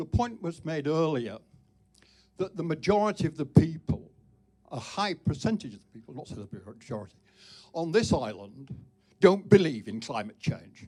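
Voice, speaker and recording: A man's fairly high voice with vocal fry, very wide pitch swings, big swings in loudness, a moderate pace and long, frequent pauses. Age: 80s+. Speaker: debate panelist. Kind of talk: public debate. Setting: live debate event with audience.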